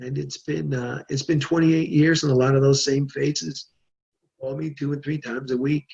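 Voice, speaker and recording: A man's fairly high-pitched, somewhat breathy voice. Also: ordinary pitch variation, moderate pace. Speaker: journalist and podcaster. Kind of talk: interview answer.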